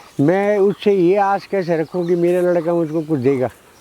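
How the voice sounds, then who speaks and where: A man speaks at a high pitch with ordinary pitch variation. Noticeable background noise runs beneath him. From Uttarakhand, Pauri Garhwal. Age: 60s. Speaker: villager. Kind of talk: documentary interview.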